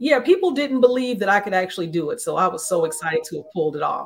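Very fast speech from a woman with an American accent, fairly high in pitch, with very wide pitch swings. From US Midwest. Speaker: romance and thriller author. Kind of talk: interview. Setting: video call. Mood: warm, animated. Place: home room. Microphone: webcam.

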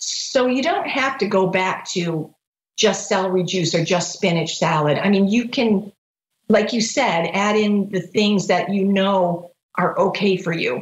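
A woman's somewhat breathy voice at a fairly slow pace, with ordinary pitch variation and audible room echo. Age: 50s. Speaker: rheumatoid arthritis patient. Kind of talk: interview. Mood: warm, reflective. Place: home room. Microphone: video call.

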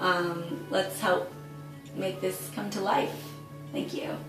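Over clear background music, a woman speaks at a very slow pace. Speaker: actress. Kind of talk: crowdfunding appeal to camera. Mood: warm, upbeat, smiling. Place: home room.

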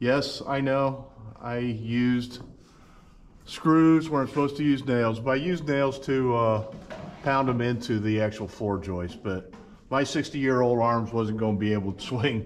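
Pitch moves in an ordinary way. The speaking pace is moderate. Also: man. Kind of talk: casual vlog chat. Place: workshop. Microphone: camera far.

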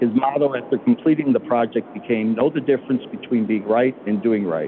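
The speech moves at a fairly quick pace. There is light background noise. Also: man. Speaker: mayor pro tem. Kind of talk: reading a proclamation. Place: hall.

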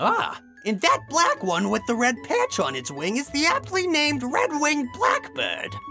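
A man performs a cartoonish character voice at an extremely high pitch, with very wide pitch swings and a bright, sharp tone. He speaks at a fairly slow pace while faint music plays in the background.

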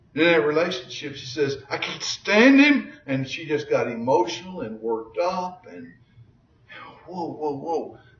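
A man's high voice with very wide pitch swings, over noticeable background noise. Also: big swings in loudness. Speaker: Bible teacher. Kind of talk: Bible lesson.

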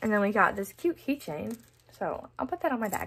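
Over light background noise, the speech moves at a very fast pace. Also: woman. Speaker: young cheer team member vlogger. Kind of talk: casual vlog chat. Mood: cheerful, upbeat. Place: home room. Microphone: phone near.

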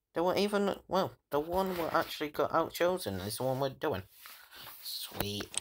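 A man with a Yorkshire accent talks at a high pitch and a moderate pace, with very wide pitch swings. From Yorkshire, northern England. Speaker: gaming YouTuber. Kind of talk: gameplay commentary. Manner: animated.

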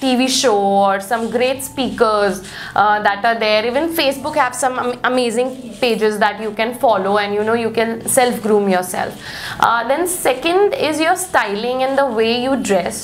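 With light background noise, a woman talks at a moderate pace with ordinary pitch variation. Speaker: interview guest. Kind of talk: interview answer. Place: studio.

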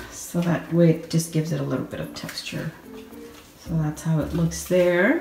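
A woman speaks quietly at a fairly slow pace with a fairly low pitch. There is music in the background and audible room echo. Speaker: home decor vlogger. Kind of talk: home tour talk to camera. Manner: low, quiet voice. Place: kitchen. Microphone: phone near.

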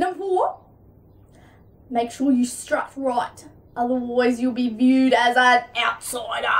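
With an Australian accent, a woman with a high pitch and ordinary pitch variation speaks with long, frequent pauses. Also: fairly slow pace. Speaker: comedy vlogger. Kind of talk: casual comedy sketch. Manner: animated. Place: home room. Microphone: camera far.

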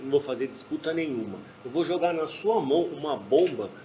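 A man talks at a fairly quick pace in an unremarkable speaking voice. Light background noise can be heard. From Brazil. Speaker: podcast host. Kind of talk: casual chat. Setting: bar or venue with stage. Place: stage.

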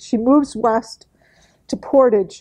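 A woman's loud, dark, mellow voice with fairly even intonation at a fairly slow pace against a quiet background. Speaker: historian. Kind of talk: lecture. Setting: meeting room with audience. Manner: loud, projecting.

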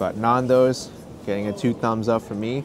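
There is noticeable background noise as a man with an American accent speaks in a medium pitch. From New York, US. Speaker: food vlogger. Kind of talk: food review vlog. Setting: outdoors.

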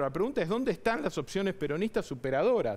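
A man talks at a very fast pace. His high pitch swings very widely. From Argentina. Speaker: mayor. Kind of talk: political interview. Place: studio. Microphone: headset.

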